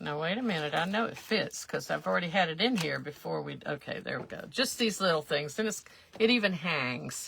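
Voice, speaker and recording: Speaking quickly with a South Carolina accent, a woman sweeps her fairly low voice through very wide pitch swings. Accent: Southern US, South Carolina. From US South. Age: 70s. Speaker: craft livestreamer. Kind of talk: live craft tutorial. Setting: livestream. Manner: casual, rambling with many fillers.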